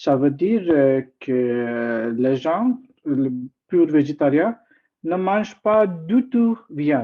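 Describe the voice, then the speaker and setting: Someone with an Indian accent speaks at a very slow pace. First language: not French; usually speaks English (speaking French). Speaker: guest speaker at a talk. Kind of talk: informal presentation. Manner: halting, many hesitations.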